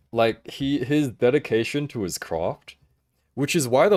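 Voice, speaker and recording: A man with an Australian accent talks at a moderate pace with ordinary pitch variation. The recording is very clean, its background silent. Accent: Australian, read by a viewer as English. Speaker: figure collecting livestreamer. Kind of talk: livestream chat. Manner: halting, many fillers and restarts.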